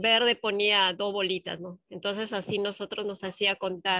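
A woman speaks in a bright, sharp tone. The sound is dry with no echo, and the background is quiet. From provincial Peru. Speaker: student teacher. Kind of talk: class discussion. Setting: video call. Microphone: video call.

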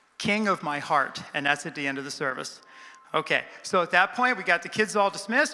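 With a high voice raised and projected, a man talks at a moderate pace while his pitch swings very widely. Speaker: pastor. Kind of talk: church announcements. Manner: loud. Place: church. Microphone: handheld.

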